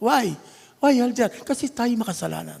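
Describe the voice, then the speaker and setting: Moderate-paced speech from a man with an extremely high pitch. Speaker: church elder preacher. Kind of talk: sermon. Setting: church. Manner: animated, conversational.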